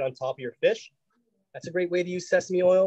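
A man's high-pitched voice at a fairly quick pace, against a quiet background. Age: 40s. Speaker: chef; home cook host. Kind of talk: cooking demonstration; cooking tutorial chat. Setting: video call. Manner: casual, halting. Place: kitchen. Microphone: phone mic with audio problems; video call.

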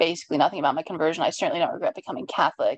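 In an American accent, a woman speaks over a quiet background, the sound dry with no echo. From Washington, D.C. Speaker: writer; interviewee. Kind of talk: oral history interview. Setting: video call. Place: home room.

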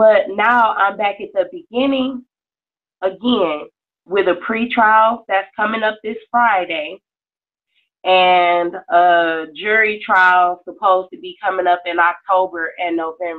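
A woman's medium-pitched voice with an American accent, at a fairly slow pace with ordinary pitch variation, against a quiet background. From Detroit, Michigan. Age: young. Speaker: mother in custody dispute. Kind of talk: testimony. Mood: aggrieved, earnest. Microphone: video call.

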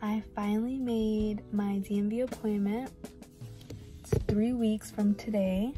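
A very slow pace over clear music in the background, in a dry sound with no echo. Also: woman. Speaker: trucking student vlogger. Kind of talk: casual vlog chat. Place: car. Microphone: phone near.

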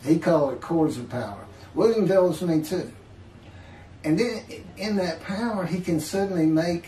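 A man with a high pitch speaks at a fairly slow pace with ordinary pitch variation. Audible room echo and light background noise surround him. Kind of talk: casual video chat testimony. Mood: animated, laughing at times. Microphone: webcam.

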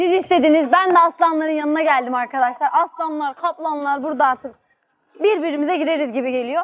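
Her extremely high voice moves at a fairly quick pace, the woman's pitch varying in an ordinary way. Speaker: vlogger. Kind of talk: casual vlog chat. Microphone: lapel.

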